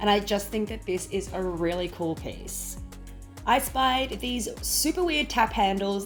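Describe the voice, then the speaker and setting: With music in the background, a woman talks at a moderate pace. She has an Australian accent. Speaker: home organisation YouTuber. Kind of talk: casual shop-with-me vlog narration.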